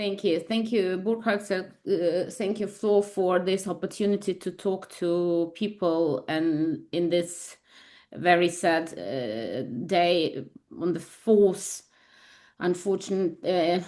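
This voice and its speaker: A woman has a dark, mellow tone and a fairly low pitch with ordinary pitch variation. She talks at a very slow pace over a quiet background. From Ukraine. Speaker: labor lawyer. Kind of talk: webinar presentation. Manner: halting.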